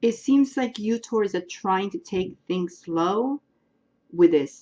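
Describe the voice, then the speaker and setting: A woman's medium-pitched voice, somewhat breathy with a dark, mellow tone, moves through very wide pitch swings at a fairly slow pace. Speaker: tarot astrology reader. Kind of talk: astrology reading. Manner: casual, hesitant with fillers.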